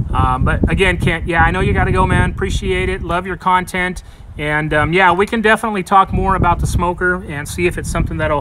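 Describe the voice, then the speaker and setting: A man speaks in a high voice at a very fast clip with fairly level intonation and hardly any pauses, over noticeable background noise. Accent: American. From South Texas, Harlingen. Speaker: barbecue YouTuber. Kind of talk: casual chat. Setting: livestream outdoors in yard.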